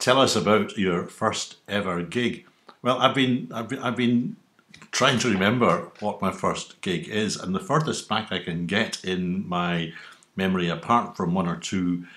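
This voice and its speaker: A man with a west of Scotland accent has a bright, sharp tone. He speaks fairly slowly with lively intonation. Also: fairly low pitch for a man. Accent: Scottish (west of Scotland). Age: 60s. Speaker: YouTuber. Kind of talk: casual monologue answering survey questions.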